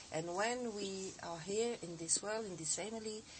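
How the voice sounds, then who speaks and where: A woman talks at a very slow pace with ordinary pitch variation. Room echo is audible. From France. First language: French (speaking Russian). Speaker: osteopath and teacher. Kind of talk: TV interview. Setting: TV studio.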